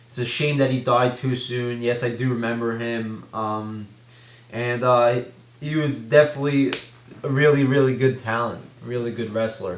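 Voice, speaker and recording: Noticeable background noise sits behind a man at a medium pitch. He speaks at a moderate pace in a monotone, flat intonation. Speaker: wrestling commentary vlogger. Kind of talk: casual talk to camera.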